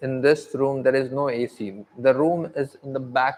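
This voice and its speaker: A man with a non-native accent, fairly high pitch and fairly even intonation, at a fairly slow pace. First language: not English. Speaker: aspiring content creator. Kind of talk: livestream monologue. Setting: sitting outside by natural light at home. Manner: halting.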